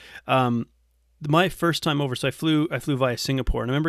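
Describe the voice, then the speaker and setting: Very fast talk from a man with a Canadian accent, fairly high in pitch, with ordinary pitch variation. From Canada. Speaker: nutrition coach. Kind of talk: casual interview chat.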